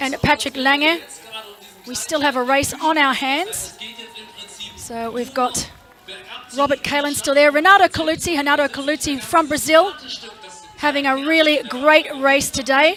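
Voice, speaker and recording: A woman with an Australian accent speaks in a raised, projected voice at a high pitch and a moderate pace. Music plays in the background, and she takes long, frequent pauses. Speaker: triathlon commentator. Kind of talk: live commentary. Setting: studio. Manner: animated.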